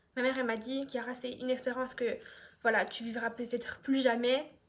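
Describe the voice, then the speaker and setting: A woman speaks in a high voice. Her intonation stays flat and monotone. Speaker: YouTuber. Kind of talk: storytime monologue. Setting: at home on couch. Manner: fast; casual, many fillers.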